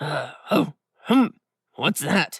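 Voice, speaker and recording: The speaker uses a raspy put-on character voice. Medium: read story. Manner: rude, grunting.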